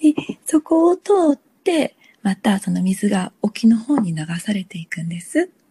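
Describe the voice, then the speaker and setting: Very wide pitch swings and big jumps in loudness at a fairly slow pace, in a dry, close sound with no echo. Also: woman, fairly high pitch for a woman. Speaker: lifesaver. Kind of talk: interview.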